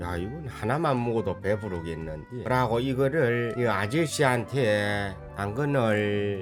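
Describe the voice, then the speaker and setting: A man speaks at a very slow pace with music in the background. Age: 80s+. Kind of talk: casual gameplay commentary.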